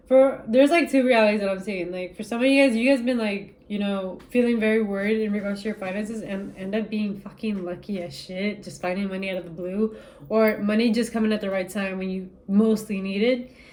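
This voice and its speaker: A woman with a non-native accent at a fairly quick pace, with hardly any pauses. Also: medium pitch for a woman. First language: not English. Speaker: tarot reader. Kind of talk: spiritual reading to camera. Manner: casual, animated.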